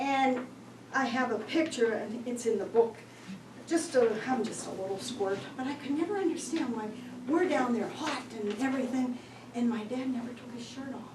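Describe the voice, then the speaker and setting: Over noticeable background noise and audible room echo, a woman talks at a moderate pace. Her high voice has ordinary pitch variation and big swings in loudness. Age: 70s. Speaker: author. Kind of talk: book talk to audience. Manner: conversational.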